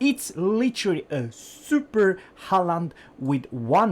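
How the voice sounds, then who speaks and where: Very slow speech here. A non-native accent comes through. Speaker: gaming YouTuber. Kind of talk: game review commentary. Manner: hesitant, many fillers.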